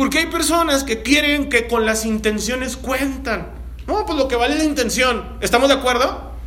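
A man's raised, projected voice at an extremely high pitch, with ordinary pitch variation, comes through audible room echo and noticeable background noise. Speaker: pastor. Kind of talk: sermon.

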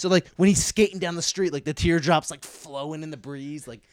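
On a very clean recording with a silent background and a dry, close sound with no echo, a man talks with a Philadelphia accent and ordinary pitch variation. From Philadelphia suburbs, US. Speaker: disc golf pro. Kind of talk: casual chat.

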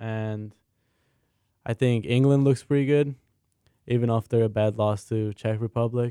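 A man speaks at a moderate pace in a medium pitch, his dark, mellow tone flat and monotone, with long, frequent pauses and a dry, close sound with no echo. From Hungary, Budapest. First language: Hungarian. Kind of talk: casual sports talk show. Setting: studio.

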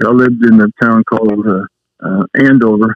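A man speaks in a Southwest US accent. His pitch is fairly low, with fairly even intonation. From New Mexico. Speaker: retired high school coach. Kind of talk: interview. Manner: halting.

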